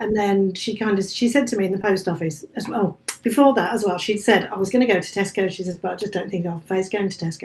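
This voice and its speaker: A woman with a West Midlands accent at a fairly quick pace, medium in pitch, with ordinary pitch variation. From English Midlands, Staffordshire. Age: 50s. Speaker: author and bookshop cafe owner. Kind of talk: casual chat.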